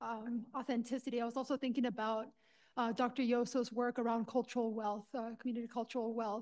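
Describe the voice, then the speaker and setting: Very fast and high-pitched, a woman talks in a Spanish accent with fairly even intonation. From Los Angeles, California. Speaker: university administrator and doctoral candidate. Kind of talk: panel discussion.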